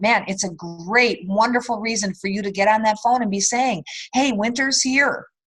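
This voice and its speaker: At a moderate pace, a woman speaks with a fairly high pitch and lively intonation. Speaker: direct sales team leader. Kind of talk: sales training call. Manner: softer when giving tough love.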